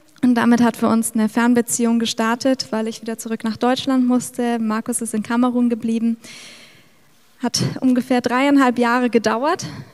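The woman's voice sits fairly high. Her intonation is monotone and flat. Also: moderate pace. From Middle Franconia, Bavaria. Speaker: missionary. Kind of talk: testimony. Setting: church service.

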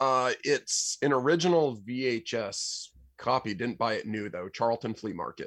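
A man's medium-pitched voice, an ordinary speaking voice, moves at a moderate pace with ordinary pitch variation on a very clean recording with a silent background. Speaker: musician and goat farmer. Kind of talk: casual interview chat.

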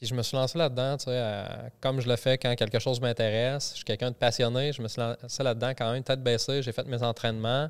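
A man's medium-pitched voice at a fairly quick pace, monotone and flat, with hardly any pauses, on a very clean recording with a silent background. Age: 40s. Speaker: army reservist and personal development enthusiast. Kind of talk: casual chat. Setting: studio.

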